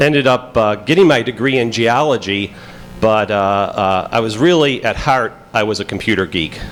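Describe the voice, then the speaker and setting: A man with a Chicago accent and lively intonation, over noticeable background noise. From Pittsburgh, Pennsylvania. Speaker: FBI agent and conference speaker. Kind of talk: conference talk. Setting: stage with audience. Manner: halting, many fillers.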